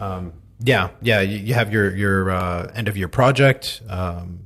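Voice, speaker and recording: A man speaks with an American accent and a fairly low pitch. His voice is somewhat breathy. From United States. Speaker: podcast host. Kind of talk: casual interview chat.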